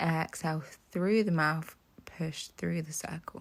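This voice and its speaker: A woman talks in a somewhat breathy way, her intonation staying fairly even. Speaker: pilates instructor. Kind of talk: follow-along workout instruction. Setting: home workout video, instructing while exercising.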